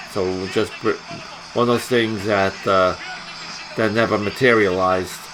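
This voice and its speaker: A man speaks over noticeable background noise. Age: 60s. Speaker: punk musician and video blogger. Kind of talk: casual rant to camera.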